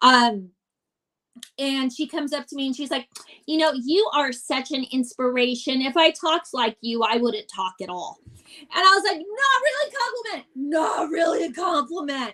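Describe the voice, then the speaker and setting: Raised and projected, a woman's high-pitched voice sounds animated, with very wide pitch swings. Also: moderate pace. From US, Italian-American family. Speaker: stand-up comedian. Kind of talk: casual chat.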